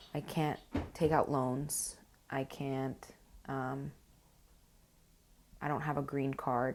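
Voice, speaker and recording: A woman's very deep, low voice in monotone, flat intonation, at a very slow pace with long, frequent pauses and music in the background. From Uruguay. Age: 20s. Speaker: college student. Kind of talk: interview. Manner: halting.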